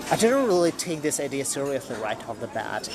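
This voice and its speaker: A man talks at a fairly quick pace with a Russian accent. Noticeable background noise sits behind him. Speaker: podcaster, writer and former medical professional. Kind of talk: personal storytelling monologue.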